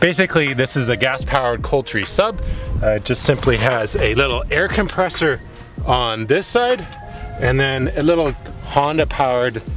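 Clear music plays in the background as the speaker talks at a moderate pace with ordinary pitch variation. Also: man. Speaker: sailing vlogger. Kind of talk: casual vlog tutorial. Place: boat. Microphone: phone near.

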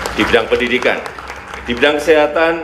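Audible room echo along with light background noise. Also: man. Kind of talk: formal speech. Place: hall. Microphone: podium.

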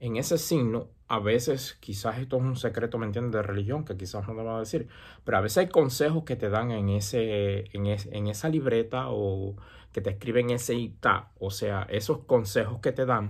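At a moderate pace and medium pitch, a man speaks in a somewhat breathy voice with ordinary pitch variation against a quiet background. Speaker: santería practitioner and YouTuber; YouTuber. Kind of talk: casual advice monologue. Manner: hesitant with many fillers. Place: home room. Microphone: earbuds.

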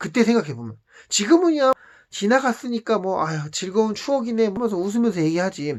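Speaking at a fairly quick pace, a man with a high pitch makes very wide pitch swings on a very clean recording with a silent background. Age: 40s. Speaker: vlogger. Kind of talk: personal storytelling monologue. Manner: casual, conversational.

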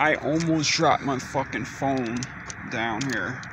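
Loud background noise fills the recording. Through it, a man speaks. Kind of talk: casual vlog chat. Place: street. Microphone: phone near.

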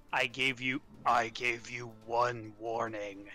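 Putting on a gruff character voice, a man speaks at medium pitch with fairly even intonation. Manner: stern, commanding.

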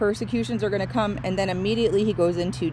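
A woman talks with lively intonation in a dry sound with no echo. There is noticeable background noise. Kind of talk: informal devotional teaching. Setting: outdoors near a road. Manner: casual and warm. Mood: earnest, devotional. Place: open country. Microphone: phone near.

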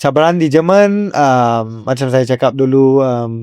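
A man at a very slow pace, medium-pitched with a dark, mellow tone. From Malaysia, Kajang. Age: 20s. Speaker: professional footballer. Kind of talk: interview. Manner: halting, many fillers.

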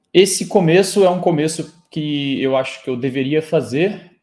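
Against a silent backdrop, a man talks with a normal range of pitch movement. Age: 30s. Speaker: football pundit. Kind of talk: solo sports analysis video. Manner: casual, animated. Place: home room.

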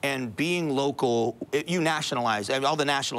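A medium-pitched man with an American accent and ordinary pitch variation. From Florida (Fort Myers); Florida. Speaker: radio talk show host. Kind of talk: casual chat. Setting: studio. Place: studio.

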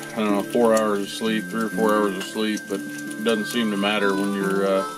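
With clear music in the background, a man keeps to a moderate pace. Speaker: family travel vlogger. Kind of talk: casual vlog chat. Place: home room. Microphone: phone near.

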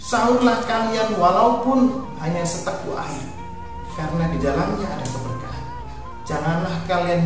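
Clear music plays behind a man in an audible room echo. He talks at a fairly slow pace. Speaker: religious teacher. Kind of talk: sermon. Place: studio.

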